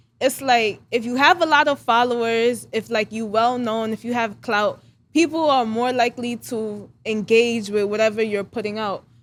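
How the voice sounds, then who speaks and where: Speaking with a New York accent and hardly any pauses, the voice shows ordinary pitch variation on a very clean recording with a silent background. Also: woman, fairly high pitch for a woman, moderate pace. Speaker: hairstylist. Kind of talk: casual chat.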